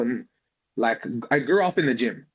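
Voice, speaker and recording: A medium-pitched man with an Australian accent. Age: 20s. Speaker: jiu-jitsu athlete. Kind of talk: interview.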